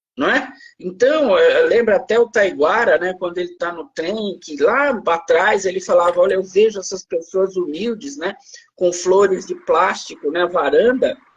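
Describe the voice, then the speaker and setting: A man with a high voice delivers his words fairly slowly, using normal pitch movement. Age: 60s. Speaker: law professor. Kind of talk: interview. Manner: halting, repeats words.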